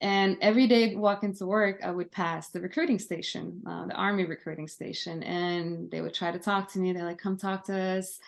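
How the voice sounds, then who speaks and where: A woman with a Lithuanian accent talks at a fairly quick pace with hardly any pauses. Her pitch is medium and her intonation fairly even. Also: quiet background. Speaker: army veteran. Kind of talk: podcast interview.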